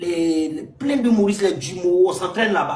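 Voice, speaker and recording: With an Ivorian accent, a man speaks in an animated tone at a fairly slow pace, his high pitch for a man rising and falling in lively intonation amid audible room echo. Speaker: stand-up comedian. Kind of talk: casual chat. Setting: live stream.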